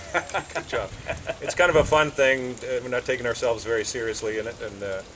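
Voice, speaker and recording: Noticeable noise fills the background while the words rush out at a very fast pace. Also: man, medium pitch for a man, ordinary pitch variation. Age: 60s. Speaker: karate instructor. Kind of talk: interview. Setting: outdoors at his house garden.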